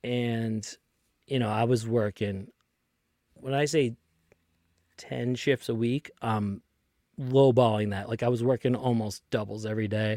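A man with a Boston accent speaks fairly slowly at a medium pitch, with long, frequent pauses and fairly even intonation. His tone is dark and mellow, and the sound is dry and close with no echo. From Lynn, Massachusetts (Boston area). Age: 30s. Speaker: tour manager and podcast host. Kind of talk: casual chat.

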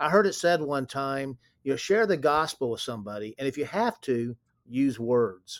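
Over a silent background in a very clean recording, a man with a Texan accent speaks with lively intonation. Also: fairly high pitch for a man, moderate pace. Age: 60s. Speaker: company president. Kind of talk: interview.

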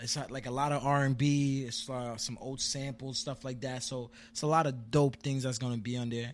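Moderate pace and fairly even intonation in a normal speaking voice. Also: man, very clean recording, silent background. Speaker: rapper and poet. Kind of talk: casual interview chat.

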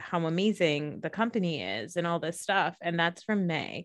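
Against a quiet background comes an ordinary speaking voice with ordinary pitch variation. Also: woman. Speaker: podcast host. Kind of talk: casual chat.

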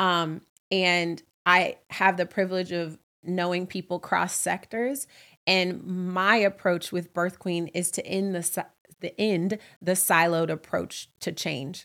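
With a General American accent, a woman uses an unremarkable speaking voice, a fairly low pitch, and fairly even intonation at a fairly slow pace. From US West Coast (Oakland, California). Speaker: podcast host and nonprofit founder. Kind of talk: solo monologue podcast, casual. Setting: home recording, live with friends.

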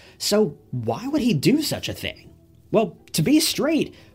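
A high-pitched male voice with very wide pitch swings, over music in the background. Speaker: true crime YouTuber. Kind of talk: true-crime narration. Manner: solemn, measured, serious storytelling tone; casual, direct asides to viewers.

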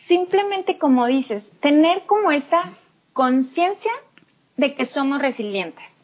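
Very slowly, a woman speaks in a high voice with very wide pitch swings. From Mexico, Torreón. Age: 30s. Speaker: psychotherapist. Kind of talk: interview.

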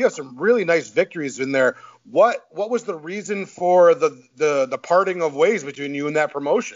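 The intonation here is lively. The speaker has a Midwestern American accent. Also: man, high pitch for a man, moderate pace. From Michigan, US Midwest. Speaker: podcast host. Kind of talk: casual chat. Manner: animated.

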